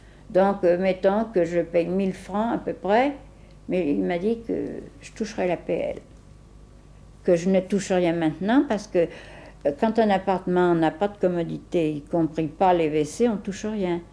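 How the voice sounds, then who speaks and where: Pausing long and often, a woman talks at a fairly slow pace with a medium pitch, a dark, mellow tone and ordinary pitch variation. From France, Lyon (Croix-Rousse). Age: 70s. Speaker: elderly resident. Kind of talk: documentary interview. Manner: hesitant.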